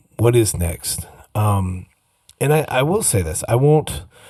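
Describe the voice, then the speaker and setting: With an American accent, a man speaks fairly slowly in a dark, mellow tone that is somewhat breathy. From US upper Midwest, Minnesota. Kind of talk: casual monologue. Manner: halting, many repeats and fillers.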